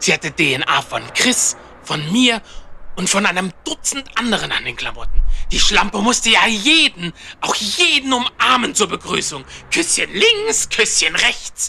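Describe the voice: Putting on a character voice, a man speaks at a fairly slow pace with a high pitch, a bright, sharp tone, vocal fry and very wide pitch swings. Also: few pauses.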